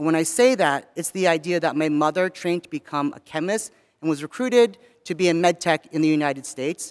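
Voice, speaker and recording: Man with an ordinary speaking voice, fairly high pitch, ordinary pitch variation and a fairly quick pace. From US, not Southern California. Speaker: university staff member. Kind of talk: chapel talk. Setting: chapel.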